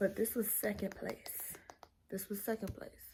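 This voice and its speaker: A somewhat breathy woman at a moderate pace, with monotone, flat intonation. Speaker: book vlogger. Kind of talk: casual vlog talk. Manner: casual, hesitant with many fillers.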